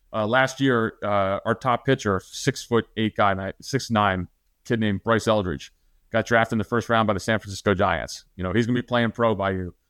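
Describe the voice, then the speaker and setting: Recorded very cleanly against a silent background, with a dry, close sound and no echo, a man speaks in an ordinary speaking voice at a fairly low pitch, a moderate pace and fairly even intonation. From New Jersey. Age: 50s. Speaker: retired intelligence officer and author. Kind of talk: interview.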